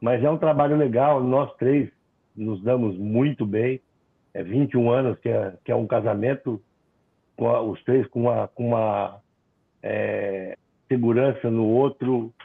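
The speech moves at a very slow pace, broken by long, frequent pauses. Its pitch variation is ordinary. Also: man, medium pitch for a man. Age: 50s. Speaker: internet provider founder. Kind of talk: webinar panel discussion.

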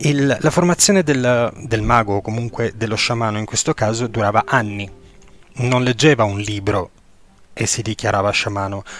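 Here a man talks at a moderate pace. His pitch is medium, with ordinary pitch variation. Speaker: podcast host, esoteric teacher. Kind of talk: lecture. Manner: halting, many filler sounds.

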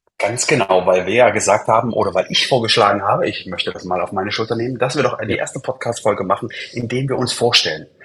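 A man speaks at a very fast pace with hardly any pauses. Noticeable background noise is present. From Leipzig, eastern Germany. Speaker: roller-skate acrobat, podcast co-host. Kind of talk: casual chat.

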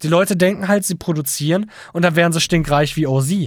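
A man's high-pitched voice, with ordinary pitch variation, comes across on a very clean recording with a silent background. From Lower Saxony, Germany (Hildesheim). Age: 20s. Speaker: audio engineer and beat producer. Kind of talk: casual chat.

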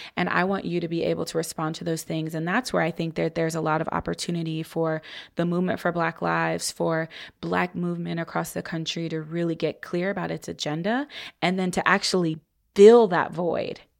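Woman with an American accent at a fairly quick pace, on a very clean recording with a silent background. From US Midwest, Columbus, Ohio. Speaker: electoral organizer. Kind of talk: podcast interview.

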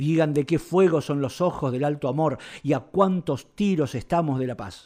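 A man talks at a moderate pace with a dark, mellow tone and fairly high pitch. His pitch varies in an ordinary way, and the background is quiet. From Argentina. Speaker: festival organizer and poet. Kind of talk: poetry reading.

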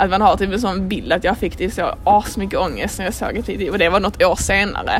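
Music plays behind a woman who talks at a fairly quick pace with hardly any pauses, her medium-pitched voice monotone and flat. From Sweden. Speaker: podcast co-host. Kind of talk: casual chat.

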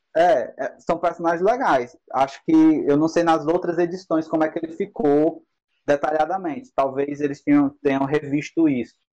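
A man speaks at a moderate pace, his pitch fairly high. His tone is dark and mellow, with ordinary pitch variation. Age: 20s. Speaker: tabletop RPG game master. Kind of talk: casual chat.

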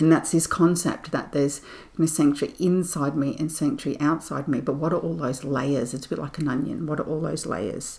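Speaking fairly quickly with an Australian accent, this woman has a very deep, low pitch and ordinary pitch variation. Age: 50s. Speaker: spiritual podcast host. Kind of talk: reflective solo monologue. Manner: gentle, soothing.

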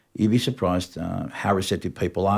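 A man with an Australian accent speaks at a moderate pace, using a fairly low pitch and ordinary pitch variation, in a very clean recording with a silent background. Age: 50s. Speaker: music industry veteran. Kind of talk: casual chat.

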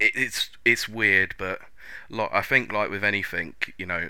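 A man talks with an English accent at a moderate pace. The recording is very clean, with a silent background. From England. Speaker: podcast host. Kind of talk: casual chat.

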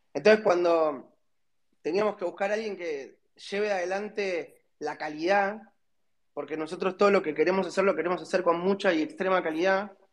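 A man talks in a high voice at a moderate pace. His pitch moves in an ordinary way. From Argentina. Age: 30s. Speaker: startup founder. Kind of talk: interview.

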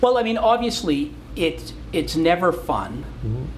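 Noticeable background noise and audible room echo surround a man speaking with a Canadian accent. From Calgary, Canada. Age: 60s. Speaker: lawyer and TV reality show co-host. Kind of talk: casual interview conversation. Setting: law firm boardroom.

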